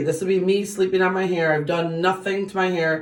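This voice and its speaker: A woman's medium-pitched voice at a fairly quick pace, with fairly even intonation. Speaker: beauty vlogger. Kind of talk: tutorial. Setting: bathroom. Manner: fast; casual, with many fillers.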